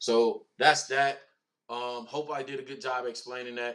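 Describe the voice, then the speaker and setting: Fairly slow delivery with fairly even intonation. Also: man. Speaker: football YouTube commentator. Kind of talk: casual video commentary.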